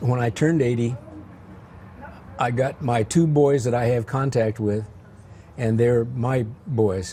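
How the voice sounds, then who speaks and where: This man's voice sits at a medium pitch with a dark, mellow tone and a somewhat breathy quality. He talks at a fairly slow pace with fairly even intonation. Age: 80s+. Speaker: retired high school teacher. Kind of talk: casual interview. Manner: halting, repeats words.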